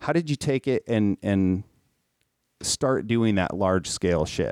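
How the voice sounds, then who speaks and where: Speaking at a fairly slow pace with ordinary pitch variation, a man with an American accent is heard on a very clean recording with a silent background. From Minnesota. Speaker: podcast host and tattoo artist. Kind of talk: casual chat.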